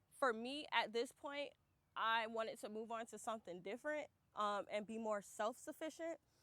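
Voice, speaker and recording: A woman with an American accent speaks in a normal speaking voice at a fairly high pitch. Her pace is moderate, with ordinary pitch variation. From Florida. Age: 20s. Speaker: gardener. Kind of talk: guided garden tour. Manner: casual, filler-heavy.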